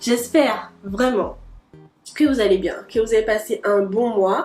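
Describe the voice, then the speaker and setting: Music plays behind a woman who speaks at a fairly slow pace. Her voice sits fairly high, with ordinary pitch variation. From Guadeloupe. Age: 20s. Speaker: medical student. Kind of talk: casual talk to camera.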